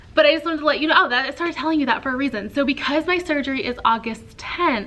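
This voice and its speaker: Over noticeable background noise, a woman with an American accent and a high pitch uses a raised, projected voice, speaking very fast with ordinary pitch variation. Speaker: teacher and vlogger. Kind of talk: casual vlog talk. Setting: classroom. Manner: animated, chatty.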